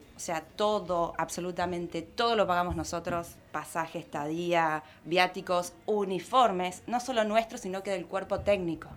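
Using a plain, everyday voice, a woman speaks at a fairly low pitch and a fairly slow pace, with fairly even intonation and hardly any pauses. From Argentina, Córdoba. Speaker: hockey player. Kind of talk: interview.

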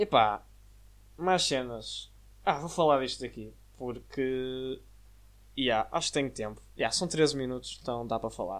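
In a European Portuguese accent, the speaker goes at a fairly slow pace, leaving long, frequent pauses. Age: young. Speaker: podcast host. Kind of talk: casual monologue. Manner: filler-heavy casual.

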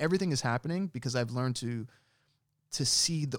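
Here a man talks at a very fast pace with an American accent. His pitch sits in the medium range. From New York City / Jersey City area. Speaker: musician. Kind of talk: casual interview.

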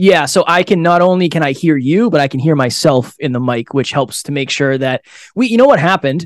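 An unremarkable speaking voice from a man, fairly high in pitch, moderately paced and lively in intonation, in a very clean recording with a silent background. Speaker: podcast founder and guest. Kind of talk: interview conversation.

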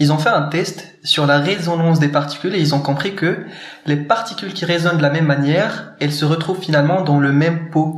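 A man's fairly high voice at a fairly quick pace, with fairly even intonation and very even loudness, plus audible room echo and noticeable background noise. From Morocco. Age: 20s. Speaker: startup co-founder. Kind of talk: casual interview. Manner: hesitant, many fillers.

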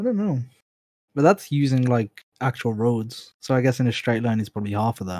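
At a fairly quick pace, a man speaks at medium pitch with ordinary pitch variation and a dark, mellow tone, in a dry, close sound with no echo. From Birmingham, England. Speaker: guest. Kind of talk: casual chat.

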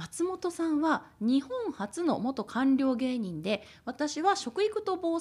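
A woman's high voice in a Kagoshima accent, with very wide pitch swings. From Kagoshima, Japan. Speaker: food education and disaster preparedness producer. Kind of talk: casual chat.

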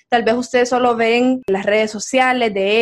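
A woman in an unremarkable speaking voice, fairly high in pitch, at a fairly slow pace with fairly even intonation, against a quiet background. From Honduras, San Pedro Sula. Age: 20s. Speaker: podcast host, marketing student. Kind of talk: scripted outro; casual chat.

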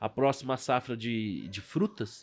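A man with a normal speaking voice, medium pitch and fairly even intonation. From Brazil, Rio de Janeiro. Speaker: stock market broker and investment advisor. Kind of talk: casual interview chat.

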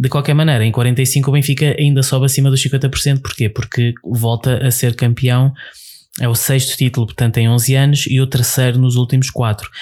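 At a moderate pace, a man speaks in a monotone, flat intonation with medium pitch, a somewhat breathy quality and very even loudness. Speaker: podcast co-host. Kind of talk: casual chat.

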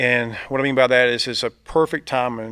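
A man with a Southern US accent and medium pitch, in a dry, close sound with no echo. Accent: Southern US (Georgia). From US South, Georgia (Thomasville). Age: 40s. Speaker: insurance agent and team leader. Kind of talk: casual interview. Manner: energetic.

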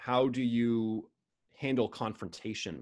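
Speaking with an American accent, a man talks at a medium pitch. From United States. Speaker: author and business consultant. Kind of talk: interview conversation. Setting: video call.

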